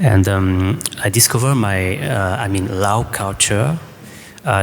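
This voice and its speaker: The speech goes at a very slow pace with ordinary pitch variation, amid noticeable background noise and audible room echo. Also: man. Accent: French. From France. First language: French. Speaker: choreographer. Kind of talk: panel discussion answer. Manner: halting.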